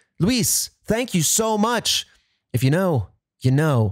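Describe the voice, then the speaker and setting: On a very clean recording with a silent background, a man sounds animated, his pitch swinging very widely. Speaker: podcast host. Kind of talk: sponsor read and listener thanks.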